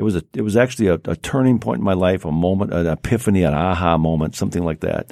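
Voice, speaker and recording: A man speaks with a very deep, low pitch, vocal fry and lively intonation. The recording is very clean, the background silent. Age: 70s. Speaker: radio host. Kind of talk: casual chat. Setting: studio.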